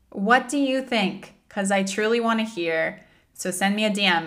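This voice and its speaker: A woman speaks with a bright, sharp tone, and the room echo is audible. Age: 30s. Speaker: podcast host. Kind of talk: casual monologue.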